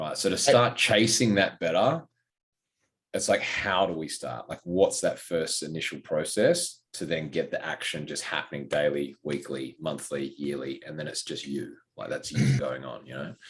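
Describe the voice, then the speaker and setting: A man with an Australian accent and big swings in loudness. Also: moderate pace. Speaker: fitness coach and podcast co-host. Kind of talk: casual podcast chat. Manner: loud, outgoing.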